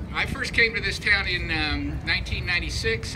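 Music plays clearly behind the voice. The speaker is a man. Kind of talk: personal testimony speech. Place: street. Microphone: camera far.

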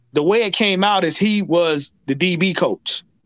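Against a quiet background, a man speaks very slowly at a high pitch with ordinary pitch variation. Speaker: panelist. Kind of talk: commentary. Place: home room. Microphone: webcam.

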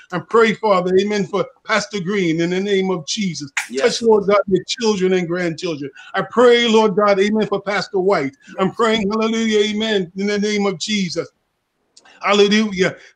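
Against a quiet background, a man with a high voice speaks at a moderate pace and with fairly even intonation. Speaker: prayer participant. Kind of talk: fervent prayer and healing declarations. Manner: fervent, repetitive, stuttering intensity, urgent. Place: home room. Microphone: video call.

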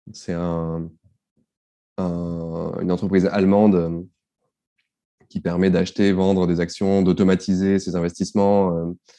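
A man with a very deep, low pitch and a dark, mellow tone speaks at a fairly slow pace. His intonation is monotone and flat against a quiet background. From southeastern France (Var, born in Marseille). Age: 30s. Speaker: personal finance newsletter founder and author. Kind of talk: casual interview. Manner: hesitant, many fillers and repetitions.

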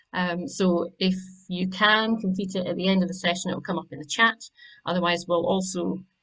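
A woman speaks at a fairly quick pace with fairly even intonation. The background is quiet. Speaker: webinar host. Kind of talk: housekeeping announcements and speaker introduction. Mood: friendly, light laughs. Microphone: video call.

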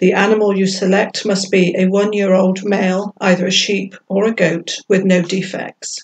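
A woman's voice carries a slightly mellow tone with a slightly husky edge. Her pitch moves very little. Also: medium pitch for a woman, moderate pace.

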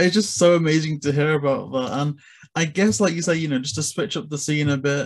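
Against a quiet background, a man talks at a moderate pace with a fairly high pitch and ordinary pitch variation. He has an unremarkable speaking voice. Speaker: interviewer. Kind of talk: casual interview. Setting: video call. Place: home room. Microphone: video call.

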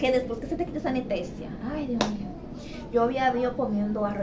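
Noticeable background noise runs under the woman's speech. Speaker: vlogger sharing a birth story. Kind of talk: casual vlog chat. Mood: animated, dramatic storytelling about pain. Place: home room. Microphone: phone near.

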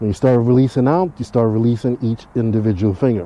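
A man at a moderate pace, in a dry sound with no echo. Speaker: motovlogger instructor. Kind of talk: tutorial. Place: street. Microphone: helmet.

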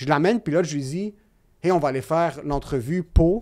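The background is quiet as a man speaks. His pitch is fairly high with ordinary variation. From Quebec. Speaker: podcast guest. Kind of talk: casual chat. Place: studio. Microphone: studio mic.

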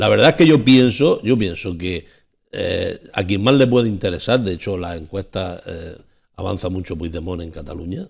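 Against a quiet background, a man with a fairly low, somewhat breathy voice speaks at a moderate pace, his intonation lively and his loudness swinging widely. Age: 60s. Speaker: panelist on a local TV talk show; TV talk show panelist. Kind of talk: televised panel debate. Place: studio. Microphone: lapel.

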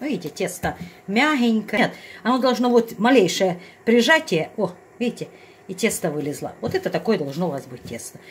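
At a fairly quick pace, a woman talks with few pauses and big pitch swings. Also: medium pitch for a woman.

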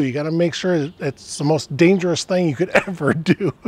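Dry with no echo, a man's high-pitched voice moves at a fairly quick pace with ordinary pitch variation. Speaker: motorcycle vlogger. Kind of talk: casual vlog chat. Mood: upbeat, jokey. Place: street.

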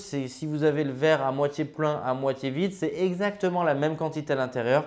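Against a quiet background, a man speaks at a fairly high pitch with ordinary pitch variation. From France, Grenoble; France. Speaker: real estate investment coach and author; real estate investment coach. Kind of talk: educational vlog monologue. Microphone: lapel.

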